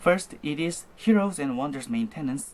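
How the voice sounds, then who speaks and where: Speech comes in a non-native accent. It moves at a fairly slow pace. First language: not English. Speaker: board game rules presenter. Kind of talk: tutorial. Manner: halting, with self-corrections.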